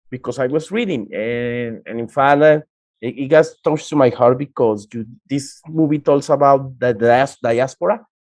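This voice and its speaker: Speaking with a Spanish accent, a man uses a medium pitch, ordinary pitch variation and a moderate pace. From Colombia, Cúcuta. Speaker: interviewer and interpreter. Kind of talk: interview.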